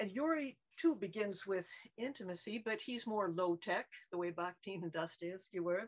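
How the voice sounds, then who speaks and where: Here is a woman with a plain, everyday voice. Her intonation is lively. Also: medium pitch for a woman, moderate pace. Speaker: emeritus literature professor. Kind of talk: academic response. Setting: video call.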